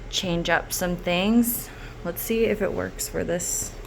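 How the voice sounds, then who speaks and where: The speech comes at a very slow pace with fairly even intonation. Room echo is audible. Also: woman. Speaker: lab researcher. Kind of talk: tutorial. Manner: casual, halting with many fillers.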